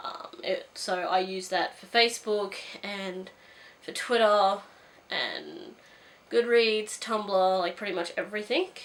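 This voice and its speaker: Pausing long and often, a woman speaks at a very slow pace with ordinary pitch variation and big swings in loudness. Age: 20s. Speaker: booktuber. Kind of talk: casual vlog monologue. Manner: hesitant, many fillers.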